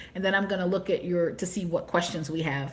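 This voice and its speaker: A somewhat breathy woman's voice with an American accent. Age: 60s. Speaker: channel host on sabbatical travel. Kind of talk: livestream travel storytelling. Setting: livestream recording. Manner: fast.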